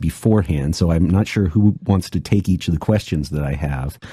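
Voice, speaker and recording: A man with an American accent speaks with a dark, mellow tone, a somewhat breathy voice and lively intonation. The sound is dry and close, with no echo. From USA. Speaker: podcast host. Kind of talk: podcast interview.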